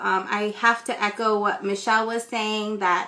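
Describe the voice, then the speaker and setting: Woman's voice at a fairly high pitch, in an American accent, moderate pace, with noticeable background noise. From California, US. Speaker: ESOL instructor. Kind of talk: live stream talk and storytelling. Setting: Instagram Live stream. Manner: casual with many fillers.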